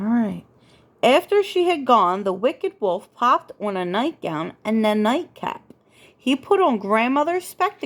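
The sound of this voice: The voice heard here is an unforced reading voice. It carries throughout the clip.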